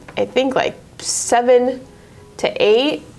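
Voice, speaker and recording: A woman at a high pitch with music in the background. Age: 20s. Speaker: car saleswoman. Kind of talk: casual interview.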